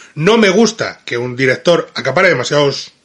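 A man with a Madrid accent speaks in an animated way, his tone bright and sharp. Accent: Madrid Castilian Spanish. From Spain, Madrid. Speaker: film critic. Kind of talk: video film review.

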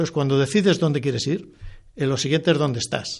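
The voice is somewhat breathy, with ordinary pitch variation. Its pace is moderate. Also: man. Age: 60s. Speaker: former bank executive and author. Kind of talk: interview. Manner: halting, many repetitions.

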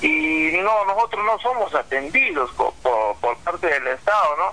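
Over noticeable background noise, a man raises and projects his high-pitched voice, swinging very widely in pitch at a fairly slow pace. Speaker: farmers' federation leader. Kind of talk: interview.

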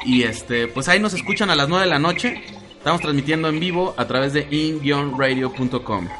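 A man with a Mexican accent speaks at a moderate pace in a fairly high pitch, his intonation lively and his loudness very even, with music playing in the background. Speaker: podcast host. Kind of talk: casual chat. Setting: internet radio studio. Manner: animated.

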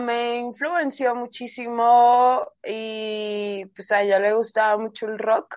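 A woman speaks at a very slow pace. Her high pitch carries a bright, sharp tone. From Colombia. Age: 30s. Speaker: reggaeton artist and DJ. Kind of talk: casual interview.

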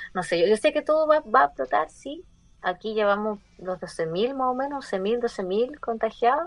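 Her fairly high pitch making very wide swings, a woman talks at a moderate pace. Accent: Chilean. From Chile. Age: 20s. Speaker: podcast guest. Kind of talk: casual chat.

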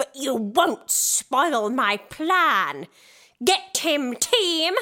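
A woman puts on a shrill character voice, high in pitch and swinging very widely. She talks at a very slow pace. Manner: screeching, commanding.

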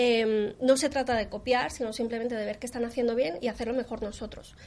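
A woman speaks at a fairly quick pace and a high pitch. Her intonation stays fairly even. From Colombia. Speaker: SEO consultant. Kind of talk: interview.

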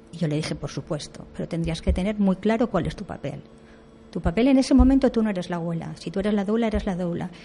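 A woman's somewhat breathy voice in a dark, mellow tone. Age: 60s. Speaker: doula. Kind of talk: radio interview.

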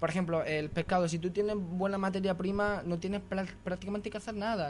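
With an Andalusian accent, a man talks fairly quickly in a high pitch and fairly even intonation. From Andalusia, Granada province (small village). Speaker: restaurant owner and chef. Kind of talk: radio interview.

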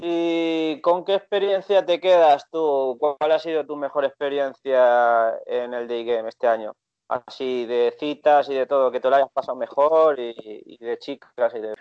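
A man with a normal speaking voice, fairly high in pitch, at a fairly slow pace with hardly any pauses and ordinary pitch variation. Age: 30s. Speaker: podcast host, dating coach. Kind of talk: casual interview.

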